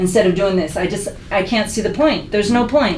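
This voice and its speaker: A woman with an American accent speaks at a medium pitch with ordinary pitch variation, amid audible room echo and noticeable background noise. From Philadelphia (West Philly). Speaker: podcast panelist. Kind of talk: casual chat. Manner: soft-spoken.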